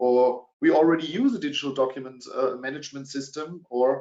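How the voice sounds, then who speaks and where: Here a man speaks in a German accent at a moderate pace. His medium pitch carries fairly even intonation. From Germany. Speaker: sales director. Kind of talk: webinar presentation. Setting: online webinar. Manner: hesitant with many fillers.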